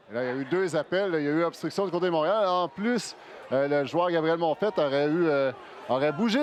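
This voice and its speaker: The man's fairly high voice varies in pitch in an ordinary way, with noticeable background noise behind it. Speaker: sports analyst. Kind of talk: live sports play-by-play commentary.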